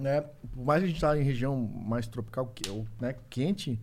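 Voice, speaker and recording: A man is speaking. His voice is somewhat breathy. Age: 40s. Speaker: survival instructor, YouTuber. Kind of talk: casual chat.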